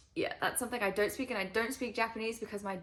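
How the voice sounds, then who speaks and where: This woman talks with vocal fry. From Switzerland, French part. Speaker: climber and YouTuber. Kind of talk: casual Q&A vlog. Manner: informal with many fillers.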